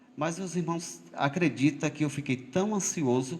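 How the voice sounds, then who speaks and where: Speaking at a fairly slow pace, a man sounds somewhat breathy, with lively intonation. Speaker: lay preacher. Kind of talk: sermon. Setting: church. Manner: halting.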